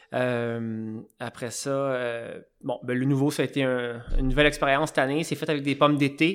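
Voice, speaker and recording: A normal speaking voice from a man, fairly high-pitched, at a moderate pace with fairly even intonation. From Quebec, Eastern Townships. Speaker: cider maker. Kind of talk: casual interview. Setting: on site at the cidery.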